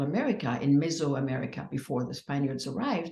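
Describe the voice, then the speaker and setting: A somewhat breathy woman with a French accent, a dark, mellow tone, very deep, low pitch, ordinary pitch variation and a fairly quick pace. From France. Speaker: psychedelic healing practitioner. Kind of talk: interview. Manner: halting.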